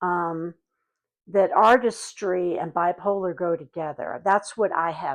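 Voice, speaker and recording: A woman's unremarkable speaking voice, fairly low in pitch with ordinary pitch variation, at a fairly slow pace against a quiet background. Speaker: actor. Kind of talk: interview answer.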